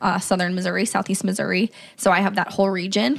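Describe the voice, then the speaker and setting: A woman speaks in a plain, everyday voice at a medium pitch. Her intonation is fairly even. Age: 20s. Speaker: business manager, podcast guest. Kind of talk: casual chat.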